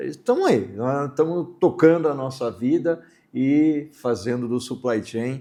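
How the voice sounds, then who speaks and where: Over a quiet background, a man with a dark, mellow tone talks at a fairly slow pace and a fairly high pitch with ordinary pitch variation. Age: 60s. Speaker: supply chain consultant and educator. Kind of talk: interview.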